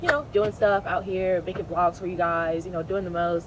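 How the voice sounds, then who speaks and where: Noticeable background noise runs behind this recording. A woman speaks at a medium pitch. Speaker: vlogger. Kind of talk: casual vlog monologue. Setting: outdoors. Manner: fast.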